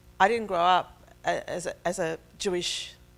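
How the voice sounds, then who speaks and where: This woman has a fairly low pitch and speaks with an Australian accent. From Israel and Australia. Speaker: faith speaker. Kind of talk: testimony.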